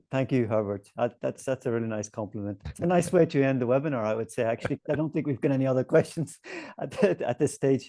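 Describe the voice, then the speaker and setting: Speaking very fast in a strong Northern Irish accent, a man has a dark, mellow tone at a medium pitch. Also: ordinary pitch variation, dry, close sound with no echo. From Northern Ireland. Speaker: webinar host, education publisher representative. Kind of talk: webinar discussion.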